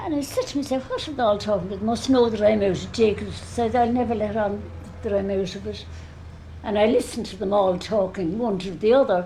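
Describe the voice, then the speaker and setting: A woman with a Dublin accent speaks at a very fast pace with ordinary pitch variation, with audible room echo and noticeable background noise. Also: medium pitch for a woman. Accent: Dublin Irish. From Ireland, Dublin. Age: 80s+. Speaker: elderly eyewitness. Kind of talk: oral history interview.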